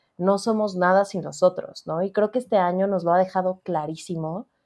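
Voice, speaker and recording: A woman's unremarkable speaking voice at a medium pitch, with fairly even intonation. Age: 30s. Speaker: book editor. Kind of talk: interview conversation.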